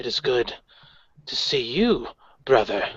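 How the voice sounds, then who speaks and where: In a raspy, put-on character voice at medium pitch, a man speaks at a fairly slow pace. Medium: actual play. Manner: proud, declamatory.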